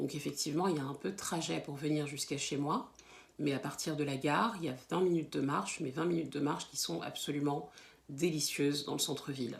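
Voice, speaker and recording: A woman talks at a fairly quick pace in a very deep, low voice that is somewhat breathy. Her pitch varies in an ordinary way. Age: 30s. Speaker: teacher. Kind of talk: self-introduction to camera. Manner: hesitant, many fillers and repeated words.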